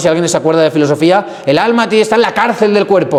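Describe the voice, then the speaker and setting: With audible room echo and noticeable background noise, a man talks at a fairly quick pace in a high, animated voice full of lively intonation. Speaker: priest catechist. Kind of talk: adult catechesis lecture. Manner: fast.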